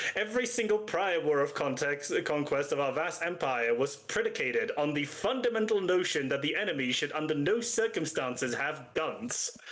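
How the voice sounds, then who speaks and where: Over noticeable background noise, a man with a British accent talks at a fairly quick pace with lively intonation. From Britain. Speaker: streamer reacting to drama videos. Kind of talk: casual group chat on a reaction stream.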